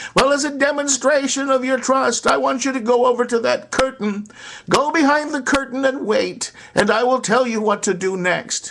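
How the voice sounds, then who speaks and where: A man does a put-on character voice. It is pitched extremely high. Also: moderate pace. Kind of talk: fervent preaching. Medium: solo performance. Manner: fervent, theatrical.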